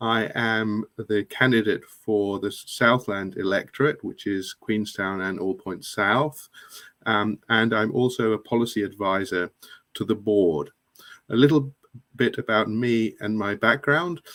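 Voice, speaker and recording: A man with an English accent at a fairly slow pace, with ordinary pitch variation. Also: fairly low pitch for a man. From England. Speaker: political candidate. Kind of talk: introduction on live online chat.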